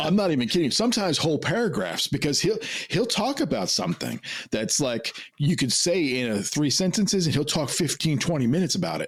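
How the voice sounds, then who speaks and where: A man's fairly quick speech with vocal fry, very wide pitch swings and very even loudness. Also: fairly high pitch for a man. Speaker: podcast host and editor. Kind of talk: casual chat. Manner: fast when excited.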